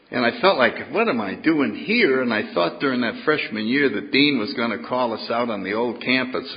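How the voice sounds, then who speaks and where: With an American accent, a man at medium pitch speaks at a moderate pace with lively intonation over noticeable background noise. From New England, US (New Haven, Connecticut). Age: 80s+. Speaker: AA speaker. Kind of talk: recovery talk to an audience. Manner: engaging and dynamic.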